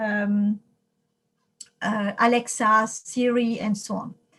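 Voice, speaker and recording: A fairly high-pitched woman's voice in a French accent. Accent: non-native English, French. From France. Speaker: computer science professor. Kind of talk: lecture. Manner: halting, many fillers.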